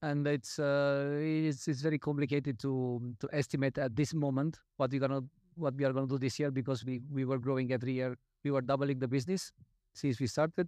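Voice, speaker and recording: With a Romanian accent, the voice has a dark, mellow tone, a fairly quick pace and fairly even intonation. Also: man, very even loudness. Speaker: coffee roaster. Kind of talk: panel discussion. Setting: stage with audience. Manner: halting.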